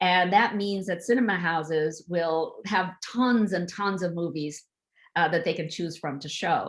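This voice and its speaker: A woman with a normal speaking voice, fairly low in pitch, with ordinary pitch variation and a fairly slow pace, in a very clean recording with a silent background. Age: 60s. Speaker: author. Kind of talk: author talk on video event.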